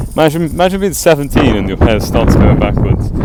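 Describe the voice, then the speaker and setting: Amid noticeable background noise and audible room echo, a man speaks with an English accent. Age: 20s. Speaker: vlogger. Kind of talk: casual monologue. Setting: outdoors, walking. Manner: rambling.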